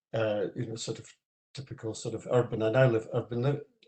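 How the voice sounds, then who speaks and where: A man with a Scottish accent talks at a fairly quick pace in a somewhat breathy, medium-pitched voice with a dark, mellow tone. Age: 70s. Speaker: audience member at a seminar, retired Gaelic learner. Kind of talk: panel discussion comment. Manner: halting, many fillers.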